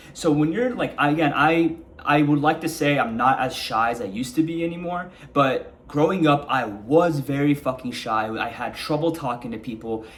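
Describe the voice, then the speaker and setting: The speaker moves at a fairly quick pace with hardly any pauses and ordinary pitch variation, over noticeable background noise. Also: man. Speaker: self-help vlogger. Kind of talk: casual monologue to camera. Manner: calm, mellow delivery; casual with filler words.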